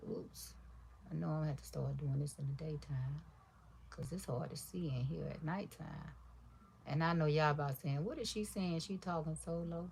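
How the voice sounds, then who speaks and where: Soft-spoken and relaxed in tone, a woman talks at a moderate pace. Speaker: crafter livestreamer. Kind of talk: casual livestream chat while crafting. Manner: quiet, soft-spoken; relaxed, rambling.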